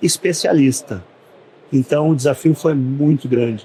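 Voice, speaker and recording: A man speaks at a fairly slow pace with a fairly high pitch. His pitch varies in an ordinary way. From southern Brazil, Porto Alegre. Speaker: business owner. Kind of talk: podcast interview. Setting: studio at a trade fair.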